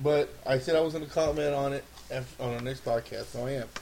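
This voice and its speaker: Noticeable background noise sits under a man's fairly high voice. He talks at a fairly quick pace with fairly even intonation. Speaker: podcast co-host. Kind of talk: casual chat.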